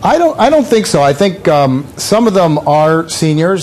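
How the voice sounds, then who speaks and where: A man's voice with noticeable background noise. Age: 60s. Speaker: website founder and gadget reviewer. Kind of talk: TV news interview. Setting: remote TV interview from LA. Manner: halting, many fillers and repeats.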